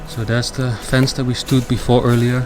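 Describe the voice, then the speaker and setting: There is noticeable background noise. The pace is fairly quick. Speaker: urban explorer vlogger. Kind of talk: vlog commentary. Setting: outdoors.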